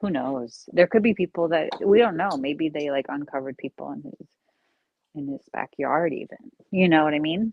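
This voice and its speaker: Using a Long Island accent, a woman with a very deep, low voice speaks at a moderate pace with lively intonation and big swings in loudness. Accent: Long Island accent, slight slur. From eastern Long Island, New York. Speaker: live streamer. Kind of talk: casual chat. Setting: live stream. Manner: halting, filler-heavy.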